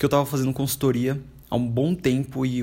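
A man's somewhat breathy, medium-pitched voice at a moderate pace, with fairly even intonation, on a very clean recording with a silent background. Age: 20s. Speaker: podcaster and YouTuber. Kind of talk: casual solo monologue.

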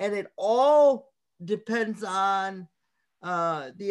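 A man with an American accent, against a quiet background. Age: 40s. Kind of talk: guest talk to a class.

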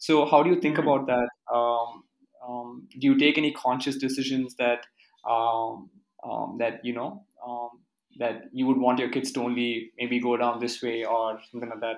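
A man with an Indian accent talks in a medium pitch at a moderate pace with fairly even intonation. He leaves long, frequent pauses. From Karnataka, India. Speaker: podcast host. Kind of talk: interview. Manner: halting.

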